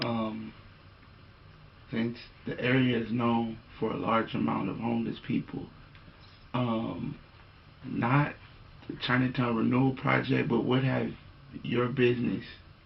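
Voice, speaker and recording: Man at medium pitch, fairly slow in pace, with fairly even intonation, long, frequent pauses and noticeable background noise. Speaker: oral history interviewer. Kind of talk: interview questions.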